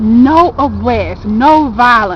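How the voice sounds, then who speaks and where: A woman with an Alabama accent speaks with ordinary pitch variation over noticeable background noise. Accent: Alabama Southern. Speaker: interviewer. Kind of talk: street interview.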